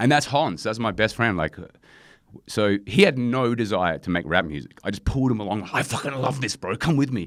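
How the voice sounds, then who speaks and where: An Australian accent marks this man's speech. His delivery is fairly quick. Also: medium pitch for a man, lively intonation. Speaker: rapper and producer. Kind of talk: casual interview.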